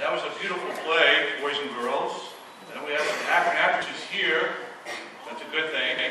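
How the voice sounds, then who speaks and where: A man talks at a moderate pace. There is audible room echo and noticeable background noise. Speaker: parish priest. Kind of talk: church announcements. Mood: warm, grateful. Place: church. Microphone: camera far.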